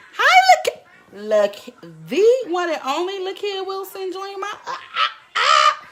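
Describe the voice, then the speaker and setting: Noticeable noise fills the background. Over it, a woman talks. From US South, Jackson, Mississippi. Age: 20s. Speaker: vlogger. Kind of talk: live stream chat. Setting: at home.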